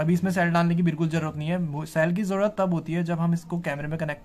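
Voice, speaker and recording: The speech moves at a very fast pace over light background noise. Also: man. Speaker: vlogger. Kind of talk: casual vlog chat, product unboxing. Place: home room. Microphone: phone near.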